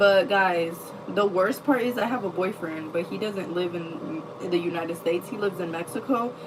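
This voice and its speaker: A woman's lively intonation at a moderate pace, over noticeable background noise. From US Midwest. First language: not English. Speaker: livestreamer. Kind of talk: casual chat. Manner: animated.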